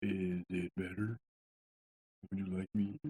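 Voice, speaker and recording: Soft-spoken and fairly low in pitch, a man talks at a fairly slow pace in a dry, close sound with no echo. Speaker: podcast host. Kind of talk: casual chat. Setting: home basement studio. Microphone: too quiet, mic being adjusted.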